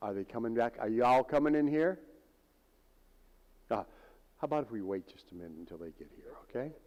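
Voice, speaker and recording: A man's medium-pitched voice at a very fast pace, with very wide pitch swings, big swings in loudness, and long, frequent pauses. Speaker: speaker sharing a near-death testimony. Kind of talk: testimony.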